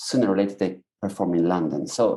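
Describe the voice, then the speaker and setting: This man speaks with an Italian accent. His tone is dark and mellow. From Italy. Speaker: stand-up comedian. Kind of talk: casual interview chat. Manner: halting, with false starts.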